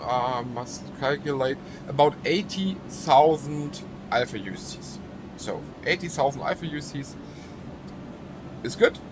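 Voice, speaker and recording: A man with a strong German accent at a fairly slow pace, long and frequent pauses, big swings in loudness, plus noticeable background noise. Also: fairly high pitch for a man, ordinary pitch variation. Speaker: gaming YouTuber. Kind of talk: gameplay tutorial. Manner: halting, many fillers.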